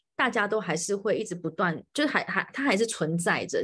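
Here a woman talks at a fairly quick pace. Her intonation is lively. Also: quiet background. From Taiwan. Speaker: podcast host. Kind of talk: live-streamed interview. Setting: home, live stream, hiding in bedroom. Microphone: video call.

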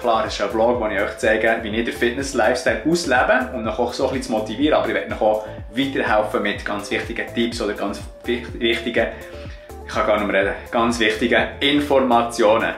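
A man with a Bernese accent at a fairly quick pace, ordinary pitch variation, audible room echo and faint music in the background. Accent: Bernese Swiss German. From Switzerland. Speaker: online fitness coach. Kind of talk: casual vlog talk to camera. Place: kitchen. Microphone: phone near.

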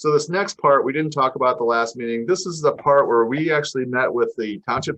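A man with medium pitch and lively intonation. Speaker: county planner. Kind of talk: public meeting presentation. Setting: township public meeting. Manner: fast.

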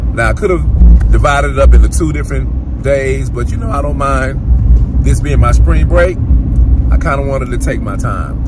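A man talks at a moderate pace over loud background noise, his voice dry with no echo. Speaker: travel vlogger. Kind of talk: casual vlog chat. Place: car. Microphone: phone near.

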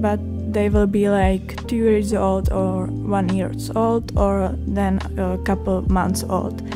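With music in the background, a woman speaks at a very slow pace in a Czech accent. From Czech Republic. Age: young. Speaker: art student. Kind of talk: art vlog voiceover.

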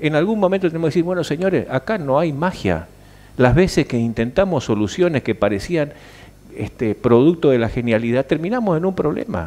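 Using a dark, mellow tone, a man speaks at a fairly quick pace with very wide swings in pitch. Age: 60s. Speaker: senator. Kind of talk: interview. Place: studio. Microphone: headset.

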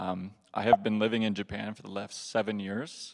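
A man with a fairly low pitch talks in a monotone, flat delivery. Vocal fry runs through his voice against a quiet background. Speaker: audience questioner; questioner. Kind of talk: audience Q&A. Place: hall.

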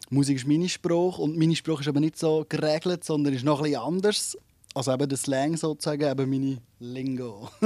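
Fairly quick speech with a Swiss accent comes through in a dark, mellow tone with ordinary pitch variation, a dry sound with no echo and a quiet background. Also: man, fairly high pitch for a man. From Switzerland. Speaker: singer-songwriter; interviewee. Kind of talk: radio interview. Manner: halting, many repetitions. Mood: relaxed, friendly. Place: studio. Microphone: handheld.

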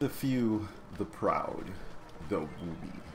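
This put-on character voice has lively intonation over clear background noise. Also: man, fairly low pitch for a man. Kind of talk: dramatic announcer.

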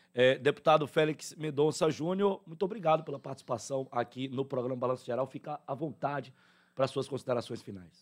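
An unremarkable speaking voice moves at a fairly quick pace with ordinary pitch variation against a quiet background. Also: man. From southern Bahia, Brazil. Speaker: radio host. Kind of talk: live radio interview. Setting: radio studio. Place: studio. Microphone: studio mic.

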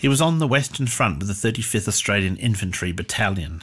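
A man's fairly low voice with very wide pitch swings and vocal fry. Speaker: narrator. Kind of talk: scripted history storytelling narration. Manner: measured, solemn, storyteller pacing; formal.

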